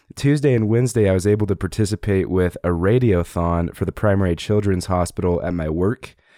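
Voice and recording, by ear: Over a silent background in a very clean recording, a man speaks at a moderate pace and low pitch, with a dark, mellow tone and ordinary pitch variation.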